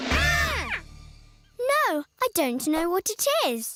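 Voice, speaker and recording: A cartoonish character voice at an extremely high pitch moves at a very slow pace with very wide pitch swings over faint background music. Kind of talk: preschool cartoon voice acting. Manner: polite, gentle, considerate.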